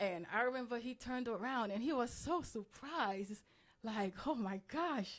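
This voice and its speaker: A woman with a slight Haitian accent speaks at a moderate pace and a fairly high pitch. Her intonation is lively. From Haiti, moved to US at nine. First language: Haitian Creole. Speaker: interview guest. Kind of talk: interview. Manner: hesitant, many fillers.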